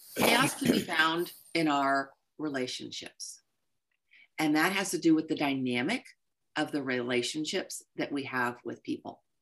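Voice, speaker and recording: A woman speaks at a very deep, low pitch and a fairly slow pace. Her pauses are long and frequent, and her pitch variation is ordinary. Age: 50s. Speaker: life coach and speaker. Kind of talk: workshop talk.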